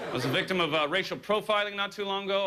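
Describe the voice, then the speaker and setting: Over noticeable background noise, a man with an American accent uses a raised, projected voice at high pitch. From Southern California. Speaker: comedian. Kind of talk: stand-up. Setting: stage with audience. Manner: hesitant, with frequent uh fillers.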